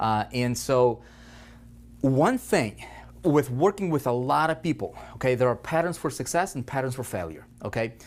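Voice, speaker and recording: A man with a non-native accent speaks at a moderate pace in a medium pitch, his tone animated and his intonation lively. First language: not English. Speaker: online marketing coach. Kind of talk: training lecture. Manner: repetitive filler okay.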